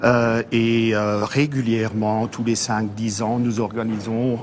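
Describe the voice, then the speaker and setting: A man's very slow, monotone, flat delivery over noticeable background noise. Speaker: accordionist. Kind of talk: interview.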